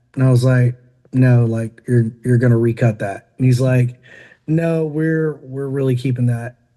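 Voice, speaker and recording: Dark and mellow in tone, a man with a Southern US accent speaks at a medium pitch with fairly even intonation. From Tennessee. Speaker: country rock singer and entrepreneur. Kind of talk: podcast interview. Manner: casual, many fillers.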